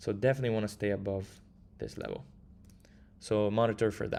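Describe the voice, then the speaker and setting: A man with an Italian accent speaks at a very fast pace in a fairly low, dark, mellow voice. His intonation stays monotone and flat. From Italy. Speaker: crypto trader. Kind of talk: live stream market analysis. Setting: live stream with chat.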